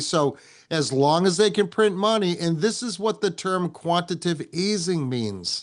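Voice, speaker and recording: A man at a high pitch and a moderate pace, with ordinary pitch variation, in front of a quiet background. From New England. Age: 60s. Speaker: podcast host, guest on another show. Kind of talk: casual podcast chat.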